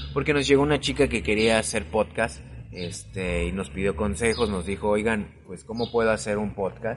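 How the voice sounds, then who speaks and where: This man has an ordinary speaking voice with a fairly low pitch. He talks at a moderate pace with lively intonation. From Mexico City. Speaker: podcast host. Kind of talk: casual chat.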